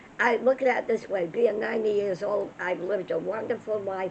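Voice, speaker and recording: Noticeable background noise behind a woman at a moderate pace, her pitch medium. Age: 80s+. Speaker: elderly mother telling life stories. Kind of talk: casual chat. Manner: halting.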